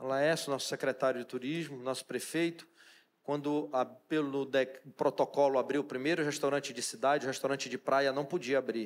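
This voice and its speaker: Talking at a fairly quick pace, a man with a fairly high pitch keeps his intonation fairly even in an unremarkable speaking voice. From Brazil, Pará (Amazon riverside, Santarém region). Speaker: chef and restaurant owner. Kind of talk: talk to a church audience.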